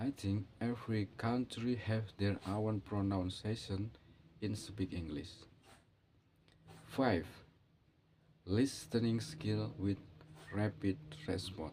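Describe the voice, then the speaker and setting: Somewhat breathy and dark, mellow in tone, the voice comes very slowly with long, frequent pauses and an Indonesian accent. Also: man, fairly low pitch for a man, ordinary pitch variation. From Indonesia, Java. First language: Javanese. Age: 40s. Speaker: English learner vlogger. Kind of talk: monologue on learning English. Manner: halting, non-native phrasing.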